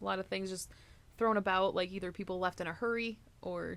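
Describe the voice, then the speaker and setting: Her voice has a medium pitch. It belongs to a woman. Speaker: podcast co-host. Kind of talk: casual chat. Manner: fast when excited; animated.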